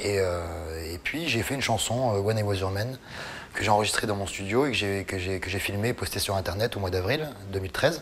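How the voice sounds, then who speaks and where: With ordinary pitch variation, a man speaks at a fairly low pitch and a fairly quick pace. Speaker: singer. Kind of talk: interview. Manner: halting.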